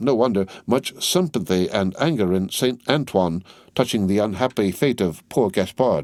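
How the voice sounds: Lively intonation in a natural reading voice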